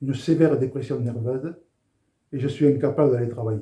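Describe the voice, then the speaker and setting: A man talks with ordinary pitch variation, his dark, mellow tone somewhat breathy. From southern France, Béziers. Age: 70s. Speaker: former rugby international giving faith testimony. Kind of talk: testimony.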